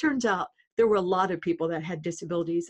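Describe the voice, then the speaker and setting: An ordinary speaking voice, a woman with an American accent, medium pitch and lively intonation. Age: 60s. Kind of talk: podcast interview. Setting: phone or video call.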